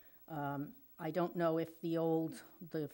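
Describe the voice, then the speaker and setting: With monotone, flat intonation, this woman talks in a very deep, low pitch. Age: old. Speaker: resident speaking at public comment. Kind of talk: public comment at council meeting. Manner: halting, many fillers.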